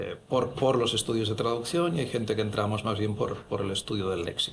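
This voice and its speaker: Over noticeable background noise, a man with a Catalan accent talks at a fairly quick pace, at medium pitch with ordinary pitch variation. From Catalonia, Spain (Barcelona). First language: Catalan (speaking Spanish). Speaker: head of translation program, professor. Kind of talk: panel discussion. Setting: university auditorium.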